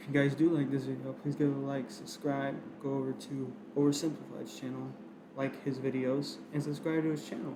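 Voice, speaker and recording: A man speaks at a medium pitch and moderate pace in monotone, flat intonation. Room echo and noticeable background noise are audible. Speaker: reaction video youtuber. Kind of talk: casual video intro.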